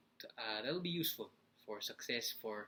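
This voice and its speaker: A man's voice, bright and sharp in tone, comes through at a moderate pace. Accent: Filipino. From Philippines. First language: Filipino. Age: 20s. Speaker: motivational vlogger. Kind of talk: casual vlog talk. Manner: halting, many fillers.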